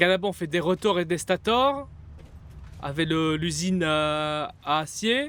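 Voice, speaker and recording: At a very slow pace, a high-pitched man speaks with lively intonation. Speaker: gaming streamer. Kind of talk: live gameplay stream chat. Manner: loud; animated.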